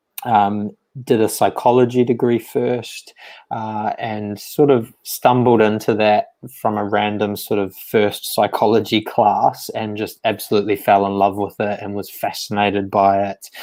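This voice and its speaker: A man with a New Zealand accent speaks at a fairly slow pace in a fairly low pitch, his tone dark and mellow. His intonation is monotone and flat, and the recording is very clean with a silent background. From rural New Zealand. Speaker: psychiatrist. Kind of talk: interview. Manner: hesitant, many fillers.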